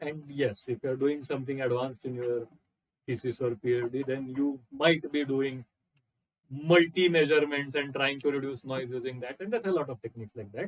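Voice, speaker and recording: At a fairly quick pace, a man uses a normal speaking voice at a medium pitch with ordinary pitch variation. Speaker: lecturer. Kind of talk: lecture.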